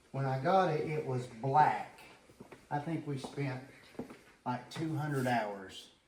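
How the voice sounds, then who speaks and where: The pace is fairly slow. Room echo can be heard. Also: man. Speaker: building owner and former student. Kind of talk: guided tour.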